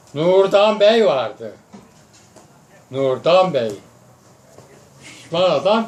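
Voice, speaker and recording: A man with a high pitch speaks very slowly, with lively intonation and long, frequent pauses. Background noise is noticeable. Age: 80s+. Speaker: former wrestler. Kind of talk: storytelling to family. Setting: outdoors.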